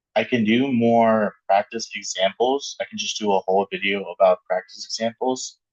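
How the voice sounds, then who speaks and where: A man speaks at a moderate pace. He hardly pauses at all. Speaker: math teacher. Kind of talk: lecture. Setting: classroom video with document camera. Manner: monotone; halting.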